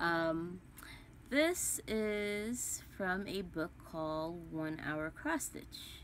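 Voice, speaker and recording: A woman speaks at a very slow pace and a fairly low pitch, with ordinary pitch variation. Light background noise sits behind her. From West Indies. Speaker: cross stitch vlogger. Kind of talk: casual vlog chat. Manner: rambling, hesitant with many ums. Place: home room. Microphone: phone near.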